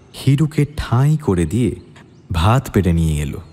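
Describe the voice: What you hear is plain reading aloud.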